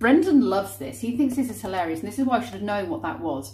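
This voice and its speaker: A woman speaks with vocal fry. Audible room echo surrounds her voice. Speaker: vlogger. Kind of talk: casual vlog chat. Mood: cheerful, animated. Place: kitchen. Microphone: phone near.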